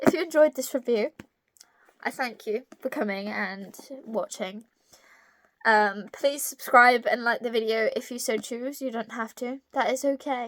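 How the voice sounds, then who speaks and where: A woman with a British accent and a high pitch, fairly slow pace, ordinary pitch variation, very clean recording and silent background. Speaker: book reviewer. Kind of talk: book review vlog. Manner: casual, hesitant with fillers.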